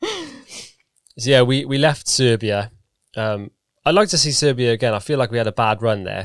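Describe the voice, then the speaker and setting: Long, frequent pauses break up a man's moderate pace, his pitch varying in an ordinary way. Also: medium pitch for a man. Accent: British. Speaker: podcast co-host. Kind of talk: casual chat.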